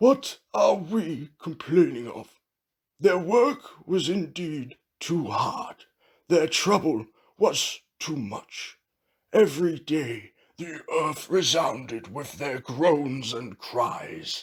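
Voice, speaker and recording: A man does a put-on character voice, raspy and fairly high-pitched, speaking at a very slow pace. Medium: read story.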